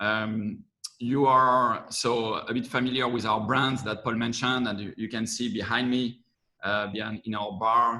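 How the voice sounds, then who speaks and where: A man with a French accent at a moderate pace, medium in pitch, with monotone, flat intonation. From France. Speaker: corporate venture managing director. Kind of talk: webinar presentation.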